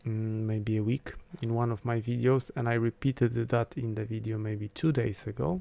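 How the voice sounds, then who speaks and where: A man with a non-native accent talks at a medium pitch. His pace is fairly slow, on a very clean recording with a silent background. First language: not English. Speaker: astrologer. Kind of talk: live stream talk. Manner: hesitant, many fillers. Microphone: considering switching to better mic.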